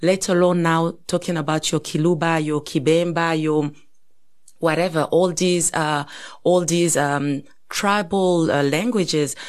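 With an East African accent, a woman speaks at a fairly low pitch and fairly slow pace, her intonation fairly even and her loudness very even. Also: quiet background. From DR Congo. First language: Swahili. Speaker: podcast co-host. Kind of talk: casual chat.

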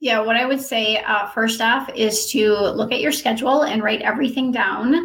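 In an American accent, a woman talks at a moderate pace with a high pitch and ordinary pitch variation. Audible room echo surrounds her voice. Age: 40s. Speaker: personal trainer and wellness coach. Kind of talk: interview.

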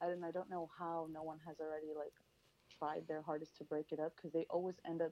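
A woman speaks with an American accent at a fairly quick pace, her pitch very deep and low. Her delivery is monotone and flat, with a dark, mellow tone. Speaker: caller. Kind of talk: casual chat. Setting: phone call.

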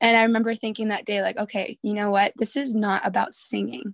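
Heard in a very clean recording with a silent background and a dry, close sound with no echo, a woman with a plain, everyday voice speaks at a fairly quick pace in a medium pitch with fairly even intonation. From Southern California. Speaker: worship singer and songwriter. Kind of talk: interview conversation.

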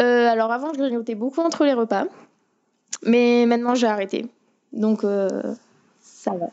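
A woman with a high-pitched voice speaks at a fairly slow pace, with ordinary pitch variation and long, frequent pauses. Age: young. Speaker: diabetic patient. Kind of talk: remote interview. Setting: remote call.

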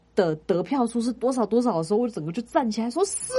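A woman talks at a fairly quick pace. She has a normal speaking voice with a fairly high pitch. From Taiwan, Kaohsiung. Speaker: podcast co-host, entertainment and arts industry worker. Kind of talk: casual chat.

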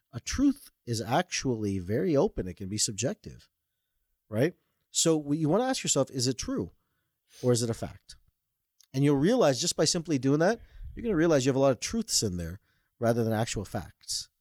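A man with a Canadian accent talks at a fairly quick pace, leaving long, frequent pauses, his pitch swinging very widely, in a dry, close sound with no echo on a very clean recording with a silent background. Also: medium pitch for a man. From Toronto, Canada, Indian family. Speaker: author and mind-body coach. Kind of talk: interview.

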